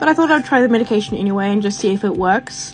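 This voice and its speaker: Over background music, a woman with a fairly high pitch talks very fast with lively intonation. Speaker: fish keeper. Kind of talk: casual talk to camera.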